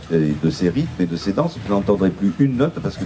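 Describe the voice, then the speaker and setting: This man has a fairly low pitch. His pitch swings very widely. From Bayonne, French Basque Country (southwest France). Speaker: writer and commentator speaking at a festival. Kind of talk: talk at a public gathering. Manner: halting, many hesitations and repetitions.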